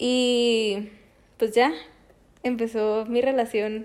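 Fairly even intonation in a woman's fairly high voice. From Mexico, Chihuahua. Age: 20s. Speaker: podcast co-host, preschool teacher. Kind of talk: casual chat.

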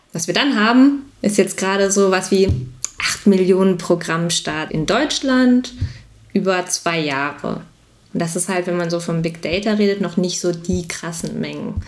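This woman has an unremarkable speaking voice, pitched in the medium range with ordinary pitch variation. She talks at a fairly slow pace. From Bielefeld region, Germany. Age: 20s. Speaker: data analyst. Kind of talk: podcast interview. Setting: video call.

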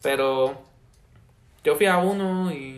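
A man's fairly high voice with ordinary pitch variation and audible room echo. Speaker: university student. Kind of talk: casual chat.

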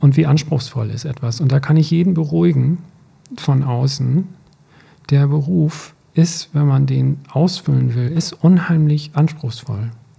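The voice is dark, mellow and somewhat breathy. It moves at a fairly slow pace. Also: man, fairly high pitch for a man, ordinary pitch variation. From rural Germany, grew up on a farm. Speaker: teacher, podcast co-host. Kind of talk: casual chat. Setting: studio, sitting face to face.

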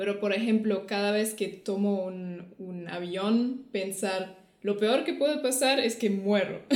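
A woman speaks very slowly at a medium pitch, with ordinary pitch variation and hardly any pauses. Room echo is audible. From Germany. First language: German (speaking Spanish). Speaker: podcast co-host. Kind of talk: casual chat.

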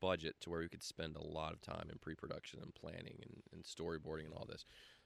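This man has a very deep, low pitch. He speaks with a Southern US accent. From US South, Greenville, South Carolina. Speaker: video production company owner. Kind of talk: casual interview.

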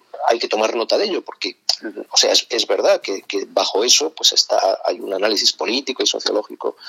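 A man talks at a fairly quick pace in a dry, close sound with no echo, over noticeable background noise. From Spain, Madrid. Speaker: author and ecologist thinker. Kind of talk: interview. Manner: halting, many repetitions and fillers.

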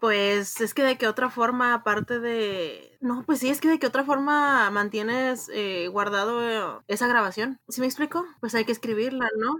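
A bright, sharp tone at a fairly slow pace, with hardly any pauses, ordinary pitch variation, and a very clean recording over a silent background. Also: woman, high pitch for a woman. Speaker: literature podcast co-host. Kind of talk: casual chat.

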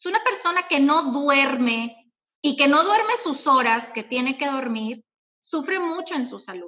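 A woman's high voice swings very widely in pitch and loudness at a fairly slow pace. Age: 30s. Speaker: habit-change coach. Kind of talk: interview chat. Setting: online live stream.

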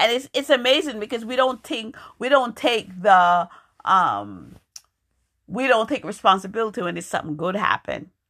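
A woman at a fairly high pitch with an American accent, bright and sharp in tone with vocal fry, lively intonation, big swings in loudness and a moderate pace, on a very clean recording with a silent background. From New York. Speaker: podcast host and poet. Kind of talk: solo podcast monologue. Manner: casual, halting with fillers.

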